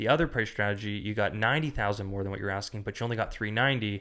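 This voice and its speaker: Recorded very cleanly against a silent background, a man with an ordinary speaking voice and a fairly low pitch talks with ordinary pitch variation. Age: 30s. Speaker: real estate agent. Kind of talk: casual chat.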